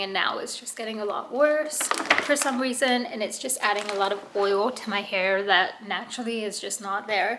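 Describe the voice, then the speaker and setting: Delivered at a fairly quick pace with ordinary pitch variation, the speech carries audible room echo and noticeable background noise. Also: woman. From UK. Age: 20s. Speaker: vlogger, military spouse. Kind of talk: casual vlog.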